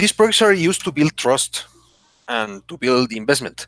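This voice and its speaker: A man's bright, sharp voice with a Spanish accent, very wide pitch swings and a dry, close sound with no echo. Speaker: podcast co-host. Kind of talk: casual chat. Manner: halting, many false starts.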